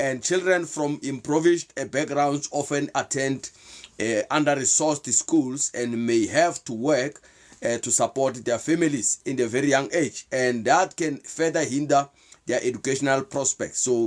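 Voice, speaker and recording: A man with a South African accent, fairly high-pitched, at a moderate pace with ordinary pitch variation, on a very clean recording with a silent background. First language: Sepedi. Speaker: motivational/faith talk show host. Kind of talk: live stream talk. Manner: halting.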